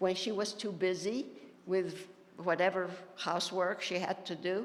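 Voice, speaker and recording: Amid audible room echo, a woman talks at medium pitch and a fairly slow pace. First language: Ladino. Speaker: panelist. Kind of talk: panel discussion.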